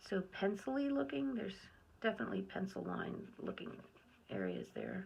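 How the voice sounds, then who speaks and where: Mumbling at a fairly quick pace, a woman talks in a relaxed tone. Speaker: art video creator. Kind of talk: painting tutorial, thinking aloud. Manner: relaxed, self-talk.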